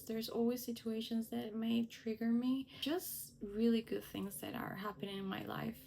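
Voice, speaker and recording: A woman with a Spanish accent speaks at a moderate pace in a fairly high pitch with fairly even intonation, and there is noticeable background noise. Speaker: lifestyle vlogger. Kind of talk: personal vlog talk to camera.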